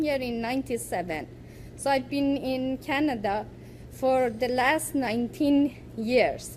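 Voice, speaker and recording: A woman with an Iranian accent speaks at a fairly slow pace. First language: Farsi. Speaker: poet and writer. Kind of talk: academic presentation. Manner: halting.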